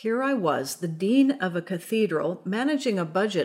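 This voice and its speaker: A woman's plain, everyday voice with lively intonation and a moderate pace in a very clean recording with a silent background. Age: 50s. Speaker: priest and podcast host. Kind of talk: scripted spiritual reflection.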